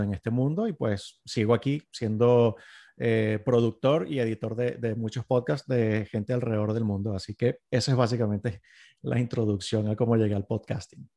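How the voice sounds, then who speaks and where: Over a quiet background, the voice has a dark, mellow tone, fairly even intonation and a moderate pace. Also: man. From Venezuela. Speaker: sound engineer and podcast producer; podcast producer. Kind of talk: interview. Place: home room. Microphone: studio mic.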